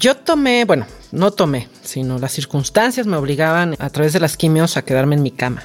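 Animated in tone, a woman with a very deep, low pitch talks at a moderate pace with very wide pitch swings. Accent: Mexican. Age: 40s. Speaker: cancer survivor. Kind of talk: interview.

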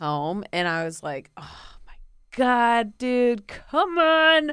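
A woman with an American accent speaks very slowly in a high, bright, sharp voice, with very wide pitch swings and big swings in loudness, on a very clean recording with a silent background. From Florida, US. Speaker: comedian. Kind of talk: casual chat. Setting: studio.

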